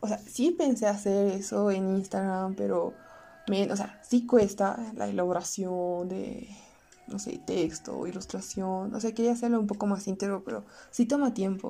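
This woman has a medium pitch and ordinary pitch variation. She talks at a fairly slow pace. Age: young. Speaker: podcaster. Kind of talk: personal audio diary monologue. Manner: halting.

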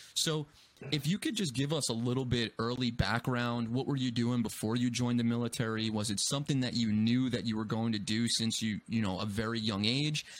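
A man with a normal speaking voice, medium pitch, fairly even intonation, very even loudness and a fairly quick pace. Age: 20s. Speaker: podcast host. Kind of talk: casual chat.

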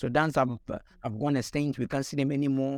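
A fairly high-pitched male voice with a Ghanaian accent. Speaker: dance scholar and choreographer. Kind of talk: panel discussion.

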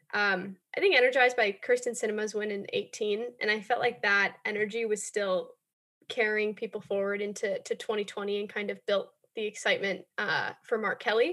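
A woman with a plain, everyday voice and a fairly high pitch speaks at a moderate pace with fairly even intonation. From US West Coast, Los Angeles. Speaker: political campaign organizer. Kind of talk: casual interview.

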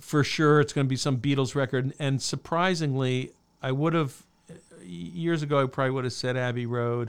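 In an American accent, a man with a normal speaking voice talks fairly quickly at a medium pitch with ordinary pitch variation. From Albany, New York. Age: 60s. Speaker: guitarist and music writer. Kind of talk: casual interview chat. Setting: music school studio.

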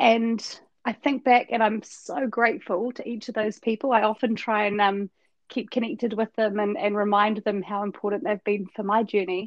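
In a New Zealand accent, a woman speaks at a fairly high pitch. Her pace is moderate and her intonation fairly even. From New Zealand, west coast. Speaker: agile coach. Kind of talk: casual chat.

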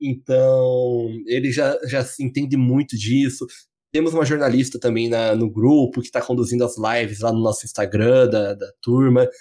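A man speaks at a medium pitch and a moderate pace, his tone dark and mellow. His intonation stays fairly even on a very clean recording with a silent background. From southern Brazil, Curitiba. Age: 20s. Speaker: podcast co-host. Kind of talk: casual chat.

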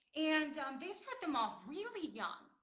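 A woman's raised, projected voice at a moderate pace, with very wide pitch swings. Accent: American. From Texas (Baytown, near Houston); Mexican American. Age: 30s. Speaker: classical flutist, singer and festival director. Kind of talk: interview conversation. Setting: remote interview from home.

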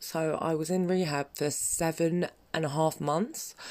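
Very slowly and with fairly even intonation, a woman speaks in a very deep, low pitch. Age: 30s. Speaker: podcaster in addiction recovery. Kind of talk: casual monologue. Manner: rambling, hesitant with fillers.

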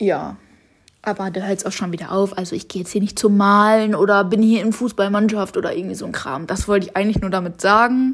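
Her intonation stays fairly level. This woman speaks very fast. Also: medium pitch for a woman. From western Germany (North Rhine-Westphalia). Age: 20s. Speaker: travel influencer and podcaster. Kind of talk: casual monologue. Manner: chatty, with frequent slips and fillers.

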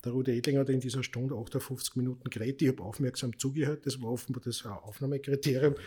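A man speaks at a very fast pace in a somewhat breathy voice with a dark, mellow tone. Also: medium pitch for a man, fairly even intonation, hardly any pauses. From Austria, Lower Austria (Krems). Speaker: politician and party club director. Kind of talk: casual chat.

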